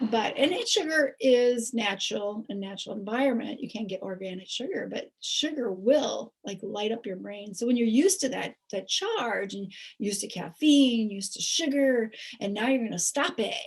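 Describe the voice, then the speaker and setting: In a plain, everyday voice, a woman speaks at a fairly high pitch and a moderate pace with lively intonation, big swings in loudness and hardly any pauses. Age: 60s. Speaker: nurse promoting health products. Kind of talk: sales pitch.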